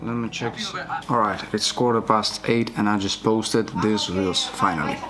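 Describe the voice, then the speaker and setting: A man with a non-native accent, fairly low in pitch, at a moderate pace with fairly even intonation, over noticeable background noise. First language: not English. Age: 20s. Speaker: vlogger, freelance filmmaker. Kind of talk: daily vlog monologue. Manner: casual.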